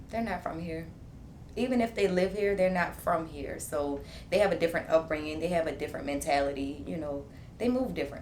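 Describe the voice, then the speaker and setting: A woman's fairly low, lively voice in a New Orleans accent at a fairly quick pace, with audible room echo and noticeable background noise. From New Orleans East, Louisiana. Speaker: entrepreneur, podcast guest. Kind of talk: casual chat.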